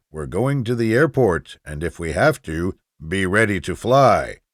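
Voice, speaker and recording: Using a put-on character voice, a man speaks at a moderate pace with a fairly low pitch and very wide pitch swings. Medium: read story.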